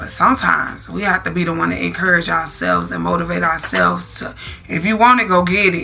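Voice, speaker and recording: A woman at a very fast pace, with audible room echo and noticeable background noise. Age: 30s. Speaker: vlogger. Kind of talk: casual chat.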